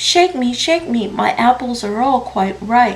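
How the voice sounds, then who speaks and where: A woman speaks in a put-on character voice with a high pitch. Her pace is fairly slow. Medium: read story.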